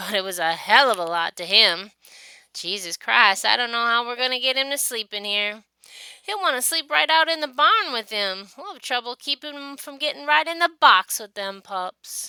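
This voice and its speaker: A woman puts on a gruff character voice at a fairly high pitch, with very wide pitch swings. She keeps a moderate pace, and the sound is dry and close with no echo. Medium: read story. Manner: gruff, defensive.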